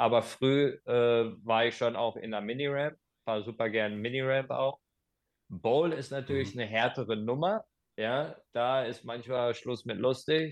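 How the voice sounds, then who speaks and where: A man's plain, everyday voice at medium pitch, with fairly even intonation and a fairly slow pace. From Germany, Hagen (Ruhr area). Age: 40s. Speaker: skateboard instructor. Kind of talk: casual interview.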